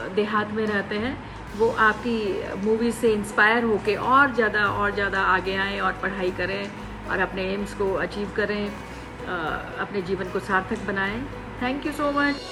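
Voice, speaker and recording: With music in the background, a woman talks with ordinary pitch variation. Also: medium pitch for a woman. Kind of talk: promotional byte, speaking to camera.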